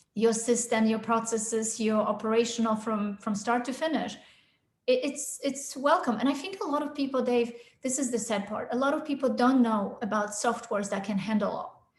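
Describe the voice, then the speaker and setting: A woman's fairly high voice at a fairly quick pace, with ordinary pitch variation and audible room echo. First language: not English (English is her third language). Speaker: sales consultant. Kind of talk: podcast interview.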